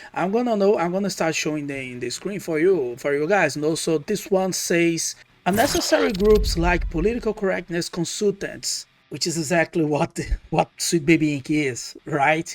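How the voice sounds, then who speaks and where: The speaker keeps a moderate pace in a Portuguese accent. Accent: non-native English, Portuguese-accented. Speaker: gaming YouTuber. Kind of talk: casual commentary video. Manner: halting, many fillers and restarts.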